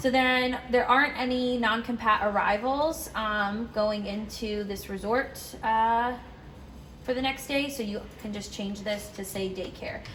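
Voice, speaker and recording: A woman speaks with a fairly high pitch and fairly even intonation. Room echo is audible. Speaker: dog daycare staff trainer. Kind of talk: tutorial. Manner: casual with fillers.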